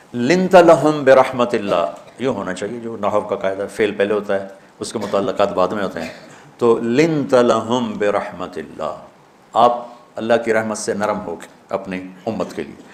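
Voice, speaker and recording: A man with a medium pitch speaks with lively intonation and big swings in loudness over noticeable background noise. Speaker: Islamic scholar giving a religious lecture (bayan). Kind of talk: religious sermon / lecture.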